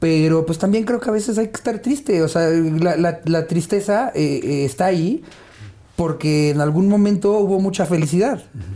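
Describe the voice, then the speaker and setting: A man speaks at a fairly slow pace with a Mexican accent and a high pitch. His tone is dark and mellow, and his intonation is lively. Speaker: stand-up comedian. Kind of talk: casual interview chat.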